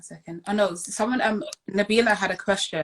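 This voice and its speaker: A woman's medium-pitched voice with fairly even intonation, dry and close with no echo. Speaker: podcast host. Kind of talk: casual interview. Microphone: cracked, delayed sound.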